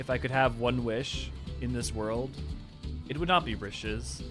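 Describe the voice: Someone is reading aloud plainly. The delivery is simple reading.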